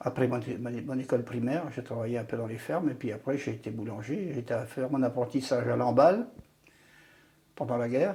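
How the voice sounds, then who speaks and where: A man's dark, mellow, somewhat breathy voice at medium pitch, fairly quick, with ordinary pitch variation. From Brittany, Côtes-d'Armor. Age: 80s+. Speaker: retired trade unionist. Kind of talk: oral history interview. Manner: hesitant, repeats words.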